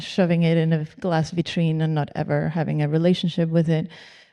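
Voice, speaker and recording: Against a quiet background, a woman with a Spanish accent talks at a fairly quick pace, her fairly low, dark and mellow voice held in a monotone, flat intonation. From Spain. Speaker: architectural historian. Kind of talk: panel discussion.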